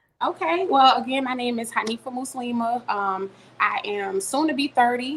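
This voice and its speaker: With noticeable background noise behind her, a woman speaks at a high pitch with ordinary variation. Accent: American. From US South, Richmond, Virginia. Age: 30s. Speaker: entrepreneur and mother. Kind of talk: interview.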